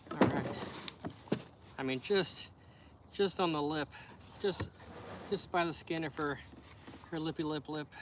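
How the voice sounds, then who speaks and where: A man with an American accent speaks at a fairly high pitch, fairly slowly, with fairly even intonation and long, frequent pauses. Noticeable background noise is present. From USA. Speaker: fishing livestreamer. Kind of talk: casual chat.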